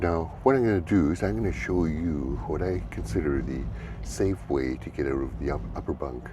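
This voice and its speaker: There is audible room echo as a man with a very deep, low pitch speaks at a moderate pace with lively intonation. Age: 70s. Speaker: travel vlogger. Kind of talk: casual demonstration vlog. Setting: sleeper car on a moving train. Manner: hesitant, many fillers.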